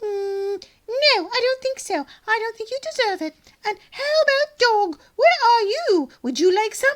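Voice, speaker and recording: A woman performs a cartoonish character voice at an extremely high pitch. Her pace is moderate. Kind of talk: children's puppet show.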